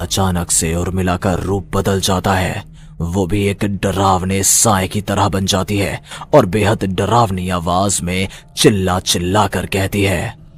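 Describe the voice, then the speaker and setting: Against clear background noise, a man puts on a cartoonish character voice with a very deep, low pitch. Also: moderate pace. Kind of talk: horror narration. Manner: dramatic, suspenseful.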